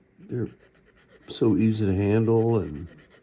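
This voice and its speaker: In a dark, mellow tone, a man speaks at a fairly low pitch with fairly even intonation. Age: 60s. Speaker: model-building hobbyist YouTuber. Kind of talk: casual tutorial.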